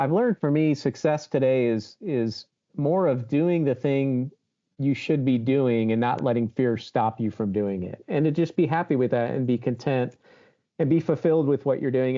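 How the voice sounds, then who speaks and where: A man's medium-pitched voice with an American accent, a plain, everyday voice at a moderate pace with ordinary pitch variation. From Baltimore, Maryland. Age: 50s. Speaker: HVAC show host and influencer. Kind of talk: interview conversation.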